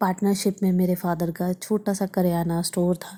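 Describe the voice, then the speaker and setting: Against a silent background in a very clean recording, a woman speaks at a medium pitch with a dark, mellow, somewhat breathy tone and monotone, flat intonation. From Haryana, India (near Ambala). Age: 30s. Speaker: vlogger and podcast host. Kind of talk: casual monologue podcast.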